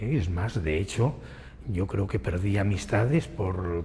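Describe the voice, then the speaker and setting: Over noticeable background noise, a man with a fairly low voice speaks with lively intonation. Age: 60s. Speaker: person living with retinitis pigmentosa. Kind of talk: documentary interview testimony.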